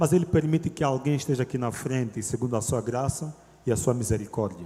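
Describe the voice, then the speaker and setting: Here a man talks at a fairly quick pace with an Angolan accent. His tone is dark and mellow, at medium pitch with ordinary pitch variation. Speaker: lay preacher, theology student. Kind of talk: sermon. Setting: church. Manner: loud.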